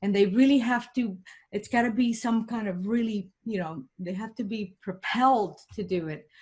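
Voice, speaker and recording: Somewhat breathy and in a Puerto Rican accent, the speaker shows ordinary pitch variation in a very clean recording with a silent background. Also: woman, moderate pace. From Puerto Rico. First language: Spanish. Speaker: engineering professor and motivational speaker. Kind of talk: podcast interview. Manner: animated.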